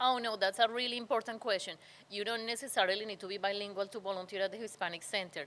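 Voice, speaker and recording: A woman with a non-native accent talks at a very fast pace with fairly even intonation and big swings in loudness. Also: medium pitch for a woman. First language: Spanish. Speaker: nonprofit community center leader. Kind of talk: interview.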